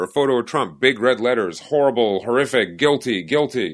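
This is a man with an unremarkable speaking voice at a medium pitch. He talks at a moderate pace. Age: 30s. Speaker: podcast co-host. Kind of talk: casual chat.

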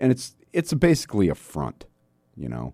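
This man has a dark, mellow tone and an American accent. His pitch swings very widely at a moderate pace. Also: dry, close sound with no echo. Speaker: radio talk show host. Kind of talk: talk radio conversation. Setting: radio studio. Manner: energetic.

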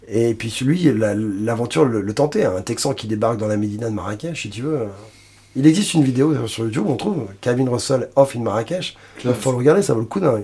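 A man speaks fairly quickly at a medium pitch, his intonation lively. His tone is dark and mellow, and somewhat breathy. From France, Paris region (Suresnes). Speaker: blues singer-guitarist. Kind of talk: interview. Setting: recording studio.

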